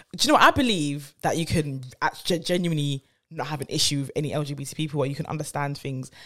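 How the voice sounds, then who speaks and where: A woman talks at a very fast pace with a very deep, low pitch. Her intonation stays fairly even. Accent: London. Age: 30s. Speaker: podcast co-host. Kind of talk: casual chat.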